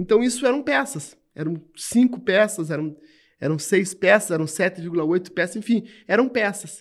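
A man keeps a moderate pace, his intonation lively. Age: 50s. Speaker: law lecturer, human rights scholar. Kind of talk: interview conversation.

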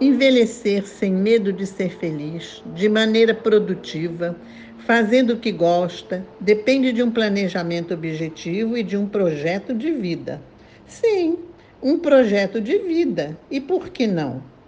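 A woman speaks at a fairly slow pace and a medium pitch. Her pitch swings very widely. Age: 80s+. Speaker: retired lawyer and columnist. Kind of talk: prepared talk read aloud.

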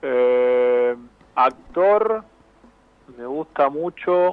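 A man's voice sits fairly high. His intonation is lively. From Argentina, Avellaneda (Buenos Aires area). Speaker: sports journalist. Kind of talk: interview. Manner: halting, repeats words.

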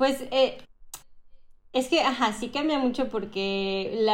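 A woman speaks with a Mexican accent. Her pitch varies in an ordinary way. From Mexico, Cancún (born Mexico City, moved at 11). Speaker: Mexican expat living in France. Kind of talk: casual interview chat.

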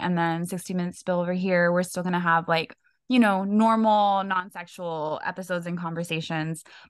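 A woman talks at a moderate pace and a medium pitch. It is an ordinary speaking voice. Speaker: podcast co-host. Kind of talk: casual chat.

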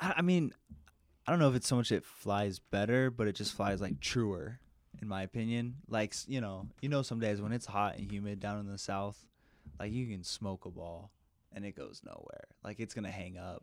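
Over a very clean recording with a silent background, a man speaks at a moderate pace in a fairly low pitch with ordinary pitch variation. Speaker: college baseball player. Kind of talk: casual interview. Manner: halting.

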